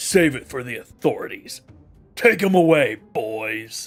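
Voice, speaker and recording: In a gravelly, raspy put-on character voice, a man swings his pitch very widely while faint music plays in the background. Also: fairly high pitch for a man, fairly slow pace. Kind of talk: hard-boiled detective slang. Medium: game stream. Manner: tough, clipped.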